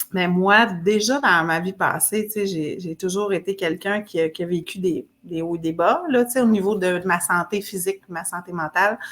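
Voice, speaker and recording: A woman with a Quebec accent speaks at a moderate pace and medium pitch, with ordinary pitch variation and hardly any pauses. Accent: Québécois French. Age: 40s. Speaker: fitness program client. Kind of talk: interview testimony.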